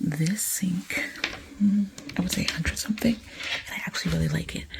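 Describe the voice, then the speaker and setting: The voice is a whisper at a moderate pace. There is noticeable noise in the background. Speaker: home lifestyle vlogger. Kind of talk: casual vlog. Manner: whispering.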